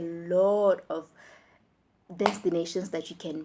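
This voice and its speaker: With a Tswana accent, a woman talks in an animated tone. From Botswana. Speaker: vlogger, international student. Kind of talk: casual vlog.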